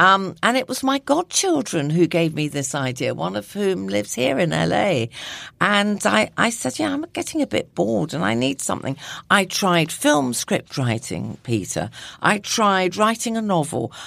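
In a southern English accent, a woman talks at a moderate pace with a fairly low pitch, vocal fry, and very wide pitch swings. The recording is very clean, with a silent background. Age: 60s. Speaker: nutritionist and lifestyle blogger. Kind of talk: casual interview chat.

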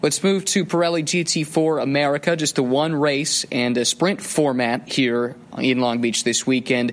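Hardly pausing, a man with a plain, everyday voice speaks at a fairly high pitch with ordinary pitch variation and very even loudness. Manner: fluent, building storyteller pace with rising drama toward the final-lap pass attempt.

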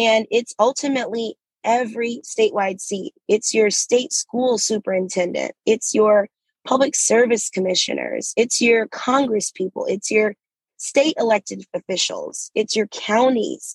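A woman with an American accent speaks at a fairly slow pace in a fairly high voice with ordinary pitch variation. Hers is an unremarkable speaking voice. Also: dry, close sound with no echo. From US South, Atlanta. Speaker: state legislator. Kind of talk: interview.

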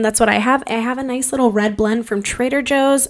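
Despite noticeable background noise, a woman comes across in an animated tone at a high pitch. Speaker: podcast host. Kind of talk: casual monologue.

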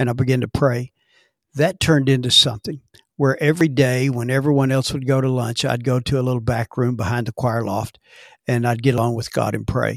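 A man with an ordinary speaking voice and an American accent, medium pitch, fairly even intonation and fairly quick pace, in a dry, close sound with no echo on a very clean recording with a silent background. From Texas, Dallas. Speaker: pastor. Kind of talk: interview testimony.

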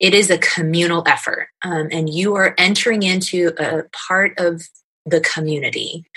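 Here a woman speaks at a moderate pace with a fairly low pitch. Her intonation is monotone and flat. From New York (Scarsdale), moved from California in fifth grade. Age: 40s. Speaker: youth ministry program manager. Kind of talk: interview.

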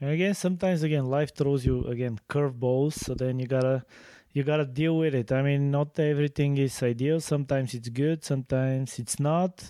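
A man with a Bulgarian accent talks at a fairly quick pace in a dark, mellow tone with fairly even intonation. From Bulgaria (Sofia). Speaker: podcast co-host, fencing coach. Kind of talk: casual chat.

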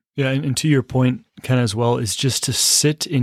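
Recorded very cleanly against a silent background, a man uses a normal speaking voice at medium pitch, with fairly even intonation and a moderate pace. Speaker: priest. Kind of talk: casual conversation.

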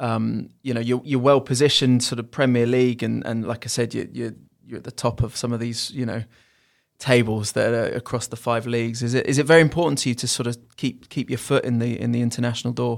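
A man with an English accent talks very fast in a flat monotone at a medium pitch, on a very clean recording with a silent background. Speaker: football club podcast host. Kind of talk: casual chat.

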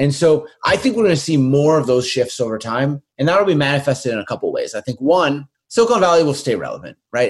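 Very fast, somewhat breathy delivery with lively intonation. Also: man. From Winnipeg, Canada. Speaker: venture investor and author. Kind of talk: interview.

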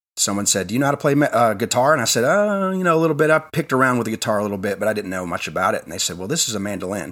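A man races along at a very fast pace with hardly any pauses and very wide pitch swings. The recording is very clean, with a silent background. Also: medium pitch for a man. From Tennessee. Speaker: stage actor. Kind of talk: casual interview chat.

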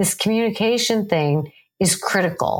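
A woman speaks with an intense, passionate tone at a medium pitch. Her pace is fairly slow. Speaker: psychologist podcast host. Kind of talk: solo podcast talk.

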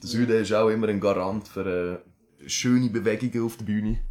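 A man with an Aargau accent and fairly even intonation. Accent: Aargau Swiss German dialect. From Switzerland, Aargau. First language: Swiss German (speaking German). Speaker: rapper. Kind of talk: casual chat.

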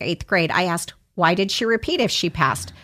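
In a very clean recording with a silent background, a woman with an American accent and an ordinary speaking voice talks at a fairly quick pace and a medium pitch, with ordinary pitch variation. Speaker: magazine publisher and radio host. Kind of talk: casual interview.

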